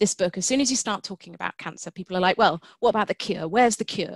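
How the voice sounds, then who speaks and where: Over a quiet background, a woman with medium pitch and vocal fry uses lively intonation, the sound dry with no echo. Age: 40s. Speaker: science writer and geneticist. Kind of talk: webinar talk. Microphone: webcam.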